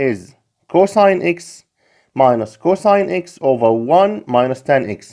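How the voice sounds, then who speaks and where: A man speaks at a very slow pace. His pitch swings very widely. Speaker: math tutor. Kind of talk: tutorial.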